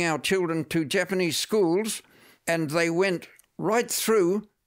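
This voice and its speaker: This man speaks with a New Zealand accent in a high voice with ordinary pitch variation. The recording is very clean with a silent background. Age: 80s+. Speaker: long-time expatriate interviewee. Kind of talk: interview.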